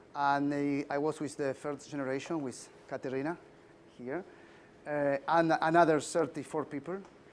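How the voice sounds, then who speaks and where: A man with a Spanish accent speaks at a moderate pace in a fairly high pitch, his intonation flat and monotone. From Argentina. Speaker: leadership trainer. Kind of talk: lecture. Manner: halting.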